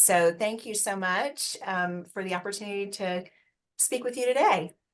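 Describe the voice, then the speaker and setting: This woman speaks with a Southern US accent. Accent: sweet Southern. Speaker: HR executive. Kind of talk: webinar panel talk.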